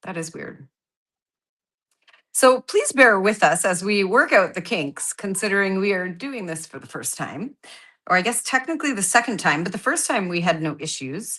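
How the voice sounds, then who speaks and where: A bright, sharp tone with lively intonation, big swings in loudness and a moderate pace, against a quiet background. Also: woman, medium pitch for a woman. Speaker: card-making crafter. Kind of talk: casual livestream craft chat.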